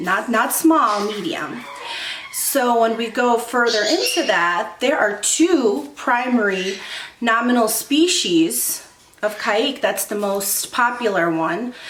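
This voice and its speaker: A woman's fairly high voice at a fairly slow pace with lively intonation, amid audible room echo and noticeable background noise. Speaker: bird-keeping YouTuber. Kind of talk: casual educational vlog. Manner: casual with filler ums.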